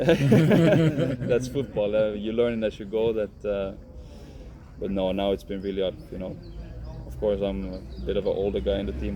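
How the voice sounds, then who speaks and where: A man with a Swedish accent speaks at a moderate pace. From Finland. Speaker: professional footballer. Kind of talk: interview. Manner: halting.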